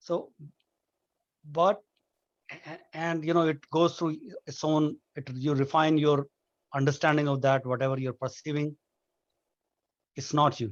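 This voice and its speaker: Speaking at a fairly slow pace with long, frequent pauses, a man with a fairly high pitch keeps a fairly even intonation in a dry, close sound with no echo. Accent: strong Indian. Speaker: nonduality discussion guest. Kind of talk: casual philosophical discussion. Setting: video call. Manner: halting, many restarts.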